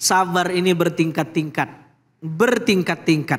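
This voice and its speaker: This is a man's voice. His pitch sits fairly high. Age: young. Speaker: Islamic preacher. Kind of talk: religious lecture. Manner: animated. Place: studio. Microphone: handheld.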